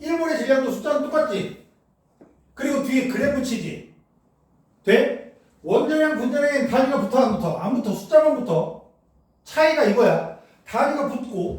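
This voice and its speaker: An extremely high-pitched man speaks at a fairly slow pace with lively intonation, with audible room echo around him. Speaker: chemistry tutor. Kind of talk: lecture. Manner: casual, animated.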